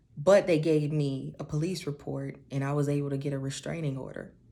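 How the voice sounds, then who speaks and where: This soft-spoken woman has a very deep, low pitch, a dark, mellow tone and fairly even intonation. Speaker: beauty and confidence vlogger. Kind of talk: personal testimony. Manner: slow.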